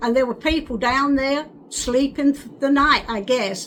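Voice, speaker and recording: With an American accent, a woman speaks at a moderate pace over noticeable background noise. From England, North London. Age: 80s+. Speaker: WWII childhood witness. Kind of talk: oral history interview. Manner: halting.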